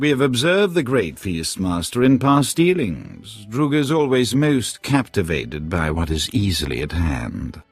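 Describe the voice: Over faint background music, a man in a put-on character voice speaks fairly slowly with few pauses, his fairly low pitch swinging widely and carrying a slightly husky edge.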